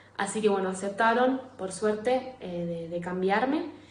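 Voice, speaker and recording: Noticeable background noise and audible room echo surround a woman speaking fairly slowly. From Argentina, Rosario. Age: 20s. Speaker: emigrant sharing her experience. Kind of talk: recorded testimony. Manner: hesitant, many fillers and repeats.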